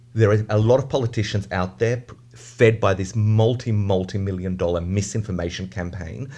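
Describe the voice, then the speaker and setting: Speaking with an Australian accent, a man uses a fairly low pitch and a dark, mellow tone that is somewhat breathy. He keeps a moderate pace with hardly any pauses and ordinary pitch variation. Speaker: advocacy group representative. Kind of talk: radio interview.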